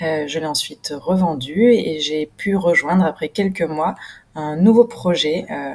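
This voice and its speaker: Speaking at a fairly slow pace, a woman with a plain, everyday voice uses a fairly low pitch and ordinary pitch variation. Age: 30s. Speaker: entrepreneur. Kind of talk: self-introduction video.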